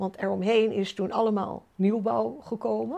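A woman's voice with a dark, mellow tone. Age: 70s. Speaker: resident of a senior co-housing group. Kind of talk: interview.

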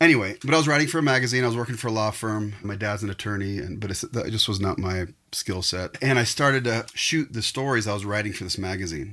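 On a very clean recording with a silent background, a man with a West Coast US accent talks at a very fast pace with hardly any pauses, his fairly low voice bright and sharp in tone with lively intonation. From northern California. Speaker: photographer. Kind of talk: casual chat.

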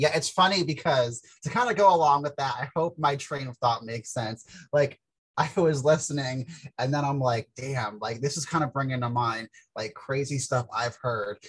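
A man speaks in a fairly high, somewhat breathy voice. His pace is moderate, with ordinary pitch variation. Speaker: peer podcast co-host. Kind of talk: casual chat. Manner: soft-spoken; hesitant, many fillers.

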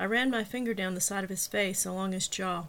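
This clip features an unforced reading voice.

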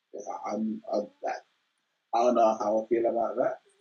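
A man with a Birmingham accent at a moderate pace. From Birmingham, England. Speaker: high school math teacher. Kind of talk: casual interview.

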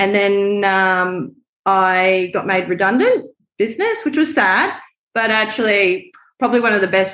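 A woman talks with an Australian accent. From Brisbane, Australia. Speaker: photographer and filmmaker. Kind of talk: casual interview chat. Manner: chatty.

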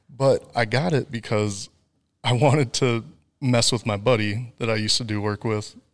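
In a very clean recording with a silent background, a man with an American accent speaks at medium pitch and a moderate pace, his intonation fairly even. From Wisconsin. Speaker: fiber optic network designer. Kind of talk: casual interview.

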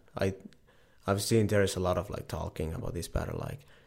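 Delivered at a fairly quick pace with ordinary pitch variation, the speech comes in a Finnish accent. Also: man. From Finland. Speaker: professional tricking athlete. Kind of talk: casual interview.

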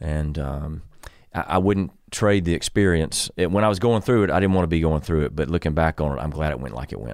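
With a South Carolina accent, a man speaks fairly quickly in a very deep, low voice with ordinary pitch variation. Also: very clean recording, silent background. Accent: South Carolina Southern US. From US South, Columbia, South Carolina. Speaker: pastor. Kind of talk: casual chat.

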